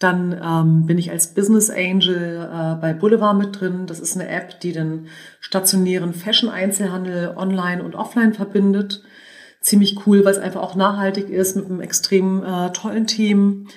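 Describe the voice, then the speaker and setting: Her pace is moderate and her pitch medium. The woman's intonation stays flat and monotone. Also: big swings in loudness. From northern Germany, suburb of Hannover. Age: 40s. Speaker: entrepreneur and business angel. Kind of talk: interview. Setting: in person.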